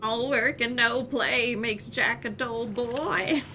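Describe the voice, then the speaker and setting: In a put-on character voice, a woman speaks at a fairly slow pace and a high pitch over clear background noise. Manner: creepy, spooky.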